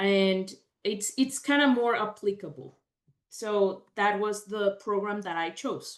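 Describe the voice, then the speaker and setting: Speaking at a very slow pace, a woman uses a medium pitch with a Mexican accent. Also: ordinary pitch variation. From Mexico, Mexico City. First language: Spanish. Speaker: veterinarian and dairy management specialist. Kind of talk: career talk presentation.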